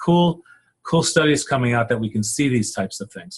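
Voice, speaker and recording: In an American accent, a man speaks in a somewhat breathy voice. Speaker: psychologist. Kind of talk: lecture. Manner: halting, many repetitions.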